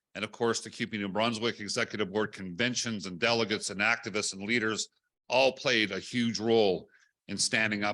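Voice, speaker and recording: A man talks loudly at a fairly quick pace, his fairly low pitch paired with a bright, sharp tone and fairly even intonation. The recording is very clean, with a silent background. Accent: Canadian. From British Columbia, Canada. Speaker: national union president. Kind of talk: speech at book launch. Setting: hotel event room with audience, live streamed.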